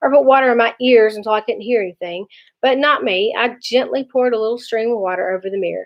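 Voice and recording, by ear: Pitch moves up and down in an ordinary way. The text is read aloud in a natural voice.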